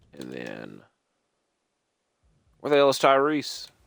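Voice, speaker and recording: There is vocal fry in this man's voice as he speaks at a moderate pace. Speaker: gaming youtuber. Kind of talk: gameplay commentary. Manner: casual.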